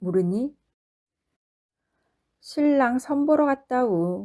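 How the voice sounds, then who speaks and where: Speaking at a very slow pace, a woman with a dark, mellow tone shows ordinary pitch variation on a very clean recording with a silent background. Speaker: non-professional audiobook reader. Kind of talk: audiobook narration of a short story.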